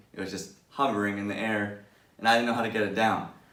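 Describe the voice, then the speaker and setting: A man speaks, and audible room echo follows his words. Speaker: vlogger. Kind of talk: casual tutorial vlog. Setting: indoors at home. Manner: fast.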